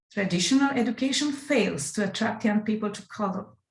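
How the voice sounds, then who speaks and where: Somewhat breathy and fairly high-pitched, a woman speaks with a non-native accent and ordinary pitch variation. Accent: non-native English pronunciation. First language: Romanian. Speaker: music educator presenting at an academic conference. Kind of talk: conference presentation.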